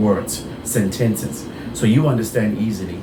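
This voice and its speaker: Amid noticeable background noise and audible room echo, this man talks at a moderate pace. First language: Bengali. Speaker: insurance broker. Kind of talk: tutorial. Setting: office. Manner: halting.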